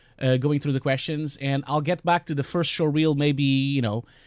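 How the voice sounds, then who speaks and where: A man talks at a moderate pace in a strong Portuguese accent. His pitch sits fairly high. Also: dry, close sound with no echo, very clean recording, silent background. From Portugal. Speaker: VFX compositor and streamer. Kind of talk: live stream tutorial and Q&A. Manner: hesitant, many fillers.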